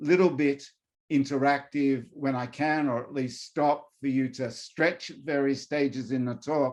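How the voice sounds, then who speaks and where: With an Australian accent, a man speaks at a fairly high pitch. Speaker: professor. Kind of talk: lecture. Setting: video call.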